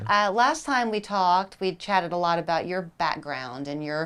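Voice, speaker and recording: An unremarkable speaking voice, a woman's, fairly low with ordinary pitch variation, is heard in a very clean recording with a silent background. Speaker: TV news show host. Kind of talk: TV interview questions.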